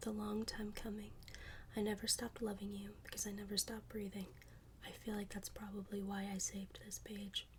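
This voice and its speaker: Soft-spoken and gentle in tone, the voice whispers at a fairly quick pace. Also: woman. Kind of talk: poetry reading. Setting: close-mic ASMR recording. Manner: soft-spoken, gentle, whispery.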